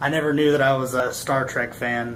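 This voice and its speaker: In monotone, flat intonation, a man speaks over noticeable background noise. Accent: Texan. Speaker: army veteran. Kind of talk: casual talk to camera. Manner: stuttering, rambling.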